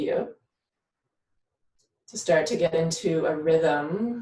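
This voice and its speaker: A woman's fairly low, somewhat breathy voice with a dark, mellow tone, ordinary pitch variation and audible room echo. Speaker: yoga instructor and doula. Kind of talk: guided breathing exercise. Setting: live video stream. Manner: slow; calm, gentle.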